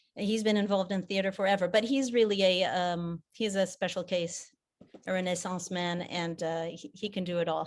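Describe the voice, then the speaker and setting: With an American accent, a woman of medium pitch talks at a moderate pace with fairly even intonation. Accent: American accent by default. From mixed: Japan, South Africa, England. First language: French. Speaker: theater director. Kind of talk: interview. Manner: halting, repeats words.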